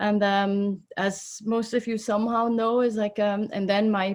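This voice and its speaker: Speaking with a Swiss accent, a woman holds a medium pitch and a monotone, flat intonation at a fairly slow pace, recorded very cleanly over a silent background. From Switzerland. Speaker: oncologist and professor of medicine. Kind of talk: interview. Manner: halting with fillers.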